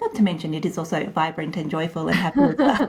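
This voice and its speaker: A woman speaks with an Australian accent. Noticeable background noise is present. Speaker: podcast host. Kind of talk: interview.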